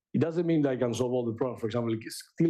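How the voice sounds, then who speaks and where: Audible room echo surrounds a man's medium-pitched voice, which has a dark, mellow tone and ordinary pitch variation. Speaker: AI researcher and author. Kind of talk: lecture.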